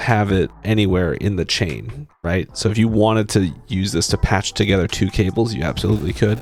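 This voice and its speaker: Mumbling, a man speaks in a very deep, low voice. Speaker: tech reviewer. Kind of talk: tutorial. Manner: halting.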